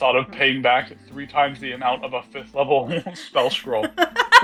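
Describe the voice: The voice is plain reading aloud. Nothing more stands out.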